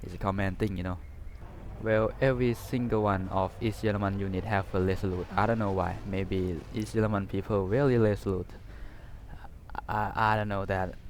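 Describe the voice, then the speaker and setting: A man with a Thai accent, fairly low pitch, fairly even intonation, moderate pace, and long, frequent pauses. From Thailand. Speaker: gaming YouTuber. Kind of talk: game unit review. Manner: halting, many fillers; casual.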